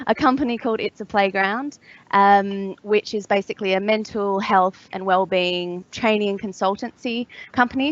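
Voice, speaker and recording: A woman with an Australian accent, moderate pace and fairly even intonation. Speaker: mental health consultancy founder. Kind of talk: panel discussion. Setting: online webcast.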